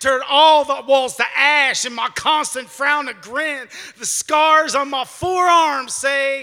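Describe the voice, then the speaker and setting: Raised and projected, a man's extremely high-pitched voice sounds bright and sharp, moving at a very slow pace with ordinary pitch variation. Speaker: poet performing at open mic. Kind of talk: spoken word poetry performance.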